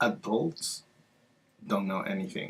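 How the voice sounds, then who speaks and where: This is a man speaking with a Spanish accent. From Peru. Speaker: library outreach coordinator. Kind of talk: interview answer.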